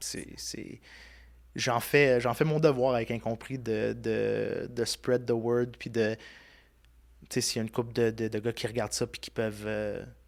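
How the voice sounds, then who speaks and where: A man's medium-pitched, flat, monotone delivery at a fairly slow pace, with long, frequent pauses. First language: Italian (speaking French). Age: 30s. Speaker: podcast host and content creator. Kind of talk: casual interview chat.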